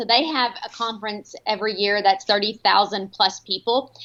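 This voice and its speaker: A woman speaks with a Texan accent at a fairly high pitch. Her intonation stays fairly even. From Texas, Paris. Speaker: home staging company owner. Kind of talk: interview.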